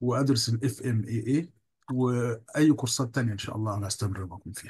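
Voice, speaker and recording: A man talks at a fairly quick pace in a medium pitch with ordinary pitch variation. His voice is somewhat breathy, and its loudness swings a lot. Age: 60s. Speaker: course trainee. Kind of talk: video call testimonial. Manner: halting.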